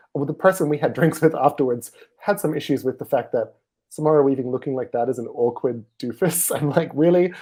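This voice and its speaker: Talking at a fairly quick pace, a man has a dark, mellow tone and ordinary pitch variation. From Australia. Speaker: film critic. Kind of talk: casual chat.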